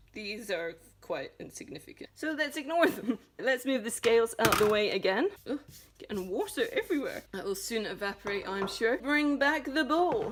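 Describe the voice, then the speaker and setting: Speaking in a Scottish accent at a moderate pace, a woman uses a high, playful voice with very wide pitch swings while noticeable background noise runs underneath. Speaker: home cooking tutorial host. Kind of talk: casual cooking tutorial to camera. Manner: playful, jokey.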